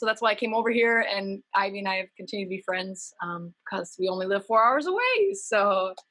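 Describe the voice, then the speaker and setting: The voice has a bright, sharp tone in an Upper Midwest accent. It moves at a moderate pace. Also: woman. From Minnesota, US. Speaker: humanitarian nonprofit worker. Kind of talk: interview.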